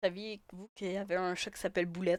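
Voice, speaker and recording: With an animated tone, a woman talks at a moderate pace in a dry, close sound with no echo. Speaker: gaming youtuber. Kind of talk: gameplay commentary. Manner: louder; casual, animated.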